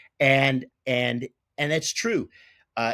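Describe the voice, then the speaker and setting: A man speaks with an American accent in a bright, sharp tone. The sound is dry and close with no echo, and the recording is very clean with a silent background. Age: 60s. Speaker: retired baseball broadcaster. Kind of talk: interview, casual chat. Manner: repetitive false starts.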